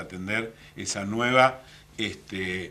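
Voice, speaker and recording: Bright and sharp in tone, the voice carries a Rioplatense accent and ordinary pitch variation. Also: man. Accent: Argentine Rioplatense Spanish. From Argentina, Mar del Plata. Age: 60s. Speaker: municipal official. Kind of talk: radio/TV interview. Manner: halting, many fillers.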